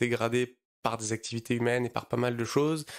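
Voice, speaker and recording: At a moderate pace, a man talks at a medium pitch. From southern France, near Marseille. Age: 30s. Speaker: startup founder, bank CEO. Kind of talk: podcast interview. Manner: hesitant, many fillers.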